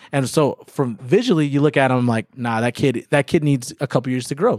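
A man speaks in an ordinary speaking voice, fairly high in pitch with ordinary pitch variation. He goes at a fairly quick pace with hardly any pauses, in a dry, close sound with no echo. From Germany, then Austin, Texas. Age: 30s. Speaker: high school soccer coach. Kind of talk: casual interview.

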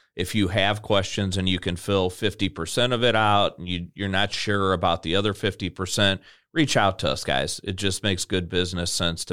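In a very clean recording with a silent background, a man with an American accent speaks at a moderate pace, his very deep, low voice bright and sharp in tone with ordinary pitch variation. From US Midwest, Illinois near St. Louis. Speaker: federal retirement consultant, podcast co-host. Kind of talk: casual chat. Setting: studio.

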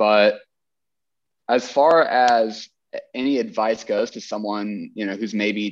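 Against a quiet background, a man speaks in a normal speaking voice at a medium pitch, with ordinary pitch variation. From Texas. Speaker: chiropractor and former CrossFit athlete. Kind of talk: casual interview.

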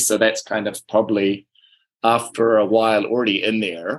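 With a New Zealand accent, a man speaks at a moderate pace in a fairly low pitch. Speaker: podcast host. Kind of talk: casual chat.

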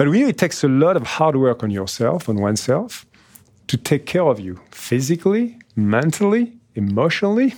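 The speaker, in a French accent, talks at a moderate pace with very wide pitch swings. The recording is very clean, with a silent background. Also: man, fairly high pitch for a man. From France, Nice. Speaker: podcast host, business executive. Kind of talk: scripted narration; interview.

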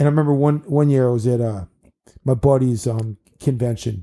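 In an American accent, a man speaks at a moderate pace and a medium pitch, with ordinary pitch variation. His tone is dark and mellow, and somewhat breathy. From Maryland, Bethesda. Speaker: children's party entertainer. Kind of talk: casual chat.

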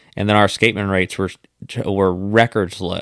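A man speaks at a fairly quick pace in a monotone, flat delivery, recorded very cleanly against a silent background with a dry, close sound and no echo. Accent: Louisiana. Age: 30s. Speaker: podcast host, fishing guide. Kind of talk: casual chat.

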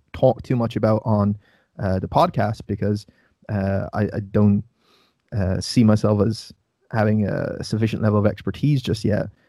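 In an Irish accent, a man speaks with a dark, mellow tone, fairly low pitch, and fairly even intonation. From Ireland. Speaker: nutrition coach and podcast host. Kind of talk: casual interview. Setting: video call.

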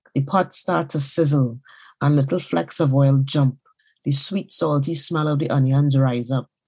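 A woman's very deep, low voice, somewhat breathy, dark and mellow in tone, at a moderate pace with ordinary pitch variation, very even loudness and a quiet background. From Trinidad and Tobago. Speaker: novelist. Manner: measured, storytelling cadence, shifting into voiced Trinidadian dialect for dialogue.

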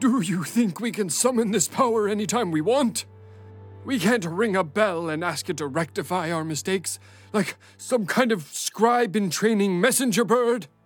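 Lively intonation from a high-pitched man, with faint music in the background. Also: moderate pace. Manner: stern, hostile, scolding.

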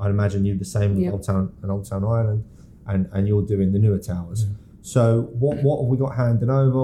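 A man speaks in a Yorkshire accent at a very fast pace. His pitch is fairly low. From Yorkshire, northern England. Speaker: podcast host, property agent. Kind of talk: casual podcast chat.

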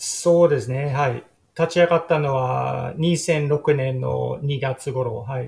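A man talks at a very slow pace in a fairly high voice. His intonation stays fairly even. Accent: English. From Sydney southern suburbs, Australia. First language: English (speaking Japanese). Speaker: tour operator. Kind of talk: interview. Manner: halting.

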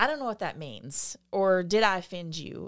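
At a moderate pace, a woman of medium pitch speaks with a Southern US accent on a very clean recording with a silent background. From US South.

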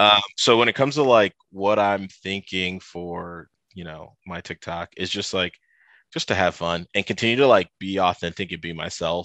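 With a Midwestern American accent, a man speaks at a moderate pace in a very deep, low voice that is bright and sharp, with ordinary pitch variation and big swings in loudness, recorded dry and close with no echo over a quiet background. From US Midwest, Toledo, Ohio. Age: 30s. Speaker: fashion content creator. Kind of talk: casual interview. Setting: video call.

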